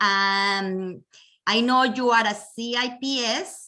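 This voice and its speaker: Bright and sharp in tone, a woman with a Colombian accent speaks at a fairly high pitch with lively intonation. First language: Spanish. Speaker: real estate agent, event chair. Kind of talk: webinar introduction. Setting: video call.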